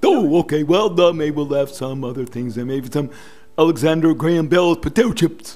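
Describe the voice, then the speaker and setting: Cartoonish character voice from a man, fairly high in pitch, at a moderate pace. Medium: puppet. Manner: eager, upbeat.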